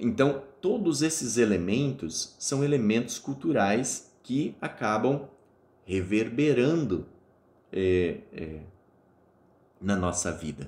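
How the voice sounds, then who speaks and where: Amid audible room echo, a man speaks very slowly with long, frequent pauses, a medium pitch, very wide pitch swings and vocal fry. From Espírito Santo, Brazil (born Rio Grande do Sul). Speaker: university lecturer. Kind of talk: lecture. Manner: hesitant, many fillers.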